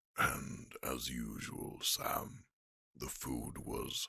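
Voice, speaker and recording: A very slow, very deep and low put-on character voice from a man. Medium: audio drama. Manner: blunt, composed.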